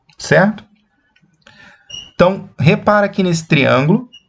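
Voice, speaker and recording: A somewhat breathy male voice. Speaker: math teacher. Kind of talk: lecture. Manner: slow, deliberate.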